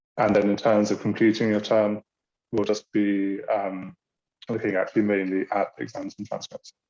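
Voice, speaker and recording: With a British accent, a man talks at a fairly low pitch in a monotone, flat intonation, the sound dry and close with no echo. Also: moderate pace. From Britain. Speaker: university international programs staff. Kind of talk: online orientation presentation. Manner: halting, many fillers.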